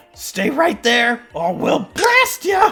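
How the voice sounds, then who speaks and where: A squeaky, put-on character voice at an extremely high pitch, over faint music in the background. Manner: shouting a threat.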